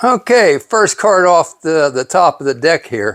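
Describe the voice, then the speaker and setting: Very slowly, a man speaks with lively intonation. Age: 60s. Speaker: YouTuber reviewing secondhand items. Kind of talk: casual vlog. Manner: halting, many filler words.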